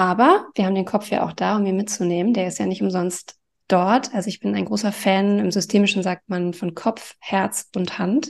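The voice has vocal fry and fairly even intonation at a moderate pace. The background is quiet. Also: woman, medium pitch for a woman, hardly any pauses. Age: 40s. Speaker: life coach. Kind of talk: interview.

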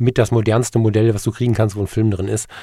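A man speaks in a fairly low pitch with a somewhat breathy, dark, mellow tone. His intonation is fairly even, and the sound is dry and close with no echo. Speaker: podcast host. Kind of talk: casual monologue.

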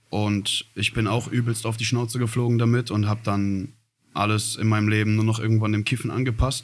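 The pace is fairly quick. The intonation stays flat and monotone. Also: man. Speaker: rapper. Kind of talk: interview.

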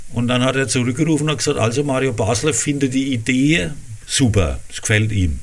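A man with a Franconian accent at a medium pitch, ordinary pitch variation and a fairly quick pace, amid audible room echo and noticeable background noise. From Lower Franconia, Rhön-Grabfeld. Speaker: cabaret artist and dialect author. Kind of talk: casual interview.

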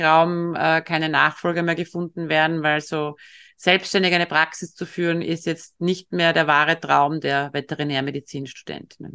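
Against a quiet background, a woman talks at a moderate pace with a fairly low pitch, a bright, sharp tone and monotone, flat intonation. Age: 50s. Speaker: veterinarian and equine-assisted coach. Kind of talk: interview.

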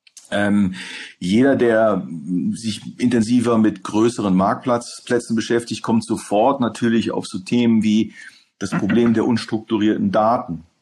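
In a very clean recording with a silent background, a man with a medium pitch talks at a fairly slow pace with fairly even intonation. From Hamburg, northern Germany. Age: 40s. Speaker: e-commerce executive. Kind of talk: interview. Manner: hesitant with many fillers.

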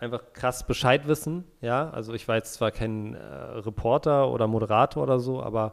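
A man with a normal speaking voice talks at a moderate pace with ordinary pitch variation and hardly any pauses. The recording is very clean, with a silent background. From Berlin, Germany. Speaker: football podcast co-host. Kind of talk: casual chat.

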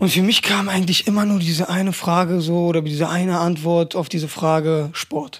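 Over noticeable background noise, a man talks at a fairly quick pace with hardly any pauses, a high pitch, and very even loudness. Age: 20s. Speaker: personal trainer and athletic coach. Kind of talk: casual chat. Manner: animated.

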